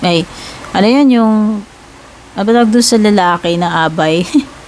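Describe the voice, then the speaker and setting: A loud woman's voice at a medium pitch, fairly slow and lively in intonation, with noticeable background noise and audible room echo. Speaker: tarot reader. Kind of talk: tarot reading. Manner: cannot speak loudly; casual, chatty with fillers.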